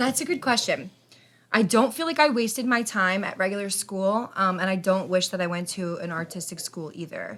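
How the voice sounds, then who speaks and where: A woman with an American accent speaks in a normal speaking voice at medium pitch. Her intonation is lively and her pace moderate. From Philadelphia, US. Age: 20s. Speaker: artist. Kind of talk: casual interview chat.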